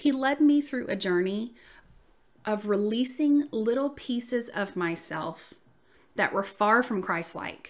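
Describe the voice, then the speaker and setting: With a Southern US accent, a woman talks fairly slowly in a warm, upbeat tone, her fairly high voice rising and falling in lively intonation. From US South. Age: 40s. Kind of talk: casual solo podcast intro. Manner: warm, friendly, upbeat.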